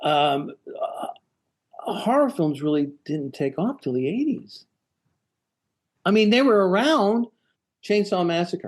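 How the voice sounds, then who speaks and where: Fairly slow, with long, frequent pauses, a man speaks at a high pitch that swings very widely. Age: 70s. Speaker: actor. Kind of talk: casual interview. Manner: halting, repeats words.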